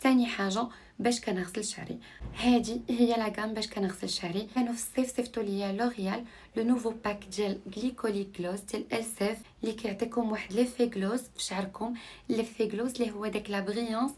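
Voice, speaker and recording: Her voice is somewhat breathy and fairly high for a woman, with fairly even intonation. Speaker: lifestyle vlogger. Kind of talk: vlog narration. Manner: casual, code-switching with French.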